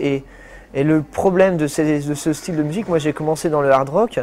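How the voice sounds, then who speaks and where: A fairly quick pace with ordinary pitch variation. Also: man. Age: 20s. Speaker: professional guitarist. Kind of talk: testimony. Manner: halting.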